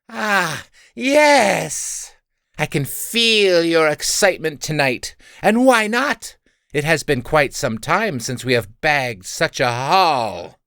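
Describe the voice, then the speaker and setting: A man's fairly high-pitched put-on character voice at a fairly slow pace, on a very clean recording with a silent background. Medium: read story. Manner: grandiose, theatrical.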